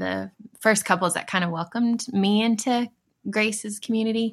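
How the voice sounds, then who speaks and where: A woman with an American accent talks at a fairly quick pace in an ordinary speaking voice. Her pitch is medium and her intonation fairly even. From Dallas area, Texas. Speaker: churchgoer interviewed with her husband. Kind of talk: casual interview over video call. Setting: video call.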